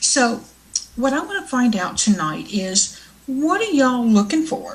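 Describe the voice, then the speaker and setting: Over noticeable background noise, a high-pitched woman with a Southern US accent speaks at a fairly slow pace with lively intonation. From US South. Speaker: internet show host, tarot reader and fiction author. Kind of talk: casual live show monologue. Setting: live online show with chat room.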